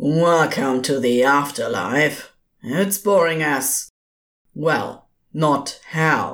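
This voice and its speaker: This put-on character voice growls at a middle pitch and moves at a very slow pace. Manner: giddy, mocking, theatrical.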